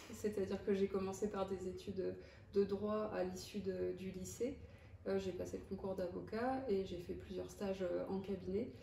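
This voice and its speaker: Noticeable background noise and audible room echo accompany this woman's speech. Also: moderate pace. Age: 30s. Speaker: general practitioner. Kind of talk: interview. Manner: hesitant, many fillers.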